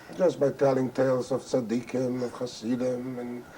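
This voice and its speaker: Noticeable background noise sits behind a man's voice. He talks at medium pitch and a moderate pace. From Carpathian Ruthenia, Czechoslovakia. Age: 60s. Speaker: Holocaust survivor. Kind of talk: testimony. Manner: halting.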